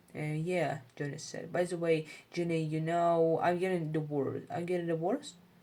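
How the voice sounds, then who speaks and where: A woman with a non-native accent speaks at a fairly low pitch and a moderate pace. Her tone is dark and mellow, with fairly even intonation. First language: not English. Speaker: English learner reading aloud. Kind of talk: reading aloud. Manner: halting, frequent self-corrections.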